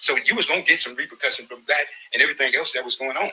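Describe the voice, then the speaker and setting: Noticeable background noise accompanies a man who talks at a very fast pace. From US West Coast, Compton. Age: 60s. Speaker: court witness. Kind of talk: testimony. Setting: courtroom.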